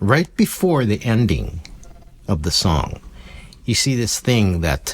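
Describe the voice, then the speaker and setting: A man talks at a fairly low pitch with vocal fry. His pitch swings very widely. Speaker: ukulele teacher. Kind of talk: tutorial. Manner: lowered voice, speaking quietly.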